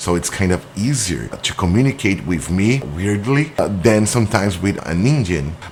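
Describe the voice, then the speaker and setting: Over noticeable background noise, a man with a Brazilian accent talks at a moderate pace with hardly any pauses, his fairly low pitch carrying lively intonation. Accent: non-native English, Brazilian. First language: Portuguese. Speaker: business owner. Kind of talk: explainer monologue. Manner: halting.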